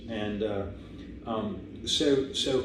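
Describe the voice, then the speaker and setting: A man with an American accent, fairly even intonation and audible room echo. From United States. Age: 70s. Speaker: masters track cyclist, former Olympian. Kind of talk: casual interview. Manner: halting, many fillers.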